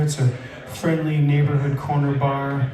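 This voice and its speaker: A man speaks in a space with audible room echo and noticeable background noise. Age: 60s. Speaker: live music host and author. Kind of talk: casual stage announcements. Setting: bar stage with audience. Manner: casual, hesitant with fillers.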